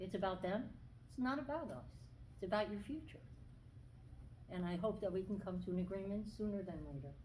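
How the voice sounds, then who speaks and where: Lively intonation and vocal fry at a fairly quick pace, with long, frequent pauses and audible room echo. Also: woman, medium pitch for a woman. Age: 60s. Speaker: school aide. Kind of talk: public comment at school board meeting. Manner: seated while speaking.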